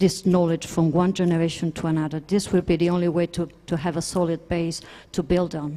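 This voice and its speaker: In a non-native accent, a woman speaks with a dark, mellow tone. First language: not English. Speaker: space sector panelist. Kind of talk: panel discussion. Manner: halting.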